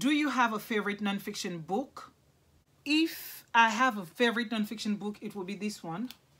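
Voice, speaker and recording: A woman's bright, sharp voice at a moderate pace, with ordinary pitch variation and big swings in loudness. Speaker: book vlogger. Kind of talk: casual vlog talk to camera. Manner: halting, self-correcting.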